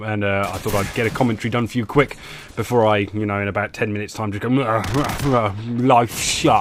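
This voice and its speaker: A man with an English accent talks at a medium pitch while music plays in the background. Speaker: gaming YouTuber. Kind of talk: gameplay commentary. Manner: halting, many fillers.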